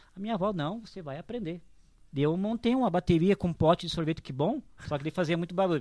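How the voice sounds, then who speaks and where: A man with a high-pitched voice talks at a very fast clip, his pitch varying in an ordinary way, recorded dry and close with no echo, very clean, over a silent background. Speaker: drum teacher and church musician. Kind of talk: casual chat.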